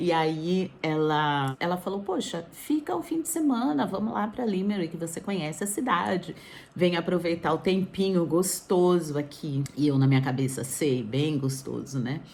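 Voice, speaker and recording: At a moderate pace and with hardly any pauses, a woman with an unremarkable speaking voice talks at a fairly low pitch with lively intonation. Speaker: vlogger. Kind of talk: casual vlog. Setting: indoors, wrapped in blanket.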